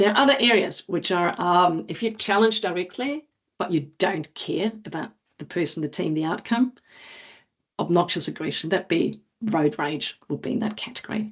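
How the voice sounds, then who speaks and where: A woman's medium-pitched voice with a non-native accent, lively intonation and a moderate pace. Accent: noticeable non-native. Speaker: agile coach and former Olympic athlete. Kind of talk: conference talk.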